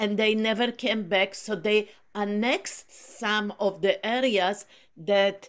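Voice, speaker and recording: At a very slow pace, a woman talks in a monotone, flat intonation. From Poland. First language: Polish. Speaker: book group speaker. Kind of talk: casual discussion on video call. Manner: halting, many fillers.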